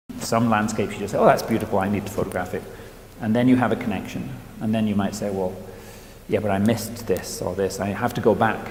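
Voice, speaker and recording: Audible room echo surrounds a man speaking at a very fast pace with fairly even intonation. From northern England. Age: 60s. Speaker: photographer. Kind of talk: interview monologue. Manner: hesitant, many repeated words and fillers.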